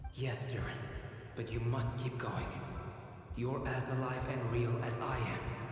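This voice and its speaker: A cartoonish character voice at a low-to-middle pitch moves at a moderate pace through strong echo and clear background noise. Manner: insistent, caring.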